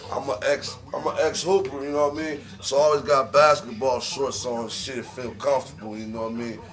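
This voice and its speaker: Fairly high male pitch with ordinary variation, a fairly quick pace, hardly any pauses, big swings in loudness and music in the background. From West Virginia. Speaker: rapper and sports gambler. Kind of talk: casual vlog monologue. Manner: animated.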